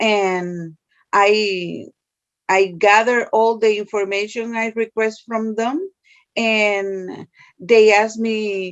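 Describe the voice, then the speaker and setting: Here is a woman with a Spanish accent. Her voice is fairly high in pitch. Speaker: social services case worker. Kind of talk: interview. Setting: video call.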